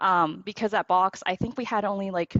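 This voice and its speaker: A woman's voice, medium in pitch, with ordinary pitch variation. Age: 20s. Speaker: tech worker and mentee. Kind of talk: panel discussion testimony. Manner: fast; filler-heavy, many likes and ums.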